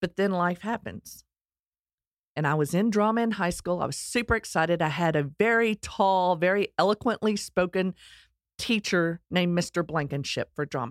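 A woman with a Texas accent and a fairly low pitch comes through on a very clean recording with a silent background and a dry, close sound with no echo. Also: ordinary pitch variation, moderate pace. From US Texas. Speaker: podcast host. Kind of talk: scripted-style monologue, personal story.

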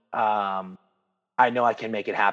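The man's intonation stays fairly even at a moderate tempo. Behind him, the background is quiet. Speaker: jiu-jitsu academy owner and competitor. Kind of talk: casual interview. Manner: loud, expressive.

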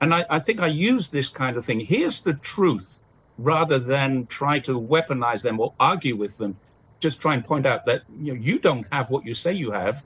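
Spoken at a moderate pace with a British accent, the voice swings very widely in pitch against a quiet background. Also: man. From UK. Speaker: commentator and freelance journalist. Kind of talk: interview.

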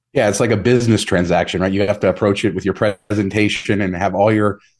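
Over a quiet background, a man with a General American accent speaks very fast at a fairly low pitch, with monotone, flat intonation. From Las Vegas, Nevada. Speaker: travel rewards blogger and podcaster. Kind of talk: casual interview.

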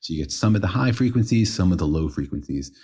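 In a very clean recording with a silent background, a man speaks at a very fast pace with vocal fry. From Israel. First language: Hebrew. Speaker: physics podcast co-host. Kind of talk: casual science explainer chat.

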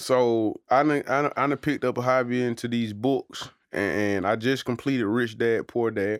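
In a very clean recording with a silent background, a man talks at a moderate pace and medium pitch, with hardly any pauses and very even loudness. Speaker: podcast co-host. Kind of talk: casual chat. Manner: animated, laughing often.

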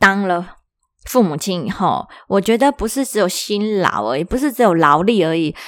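A woman with an ordinary speaking voice talks at a medium pitch and moderate pace in a very clean recording with a silent background. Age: 30s. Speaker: podcast host. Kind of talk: solo podcast talk.

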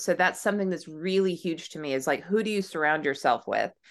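A woman's fairly low voice with an American accent, an ordinary speaking voice, against a quiet background. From southern California, then Tennessee. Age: 40s. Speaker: brand consultant. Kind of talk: podcast interview.

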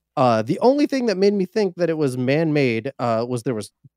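A man speaks with an American accent and ordinary pitch variation. The sound is dry and close, with no echo. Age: 40s. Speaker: vegan cooking show creator and metal musician. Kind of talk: casual interview chat. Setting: remote call. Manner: halting, filler-heavy.

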